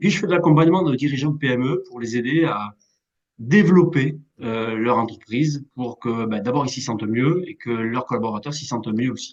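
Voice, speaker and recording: In a southwestern French accent, a man speaks at a moderate pace and medium pitch with ordinary pitch variation. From southwest France, Béarn. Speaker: management coach and speaker. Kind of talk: interview. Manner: hesitant, many fillers.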